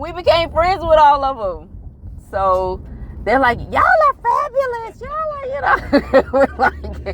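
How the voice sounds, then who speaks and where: Over noticeable background noise, a woman speaks in an animated tone at a fairly slow pace. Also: big swings in loudness. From United States. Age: 40s. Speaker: traveler. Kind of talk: casual chat.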